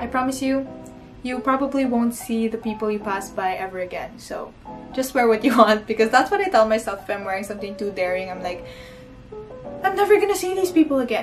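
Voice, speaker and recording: Music plays in the background as a speaker with a Filipino accent talks at a fairly quick pace, with very wide pitch swings and big swings in loudness. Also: woman, fairly high pitch for a woman. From Philippines. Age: 20s. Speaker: college student and YouTuber. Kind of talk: casual talk to camera.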